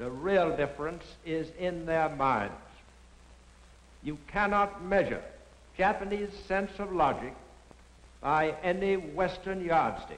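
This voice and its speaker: With an American accent, the speaker goes at a very slow pace with long, frequent pauses and ordinary pitch variation. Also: man, high pitch for a man. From United States. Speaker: former ambassador. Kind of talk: documentary narration. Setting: 1940s film soundtrack. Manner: portentous, grave. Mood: grave, stern. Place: studio. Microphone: old recording.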